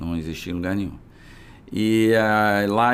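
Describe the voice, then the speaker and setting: This man has a normal speaking voice, pitched fairly low, with ordinary pitch variation. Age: 60s. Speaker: physician and business founder. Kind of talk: interview conversation.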